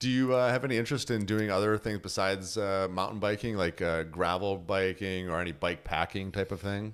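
A man with a plain, everyday voice talks at a fairly quick pace with hardly any pauses, his fairly low pitch showing ordinary pitch variation. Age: 40s. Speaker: podcast host. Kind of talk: casual interview. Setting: home studio.

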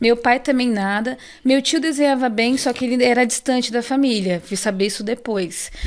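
A woman's high voice moves at a moderate pace, its pitch shifting an ordinary amount. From Brazil, São Paulo South Zone. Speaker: illustrator. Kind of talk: casual interview.

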